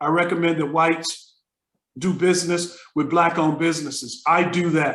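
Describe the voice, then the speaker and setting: With an American accent, a man speaks in a high pitch at a moderate pace. His intonation is monotone and flat. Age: 60s. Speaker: retired business professor. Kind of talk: interview. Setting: video call.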